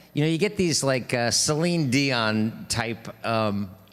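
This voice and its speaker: With a New York accent, a man talks at medium pitch with lively intonation on a very clean recording with a silent background. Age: 60s. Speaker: street musician and livestream host. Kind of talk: casual livestream chat between songs. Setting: live stream. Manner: halting, many fillers.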